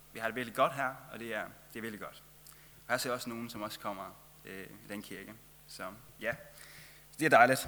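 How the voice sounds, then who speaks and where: Amid audible room echo, a man speaks at a fairly quick pace with long, frequent pauses and big swings in loudness. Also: medium pitch for a man, fairly even intonation. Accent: Faroese. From Faroe Islands. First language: Faroese (speaking Danish). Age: 20s. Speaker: travelling lay preacher. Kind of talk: sermon.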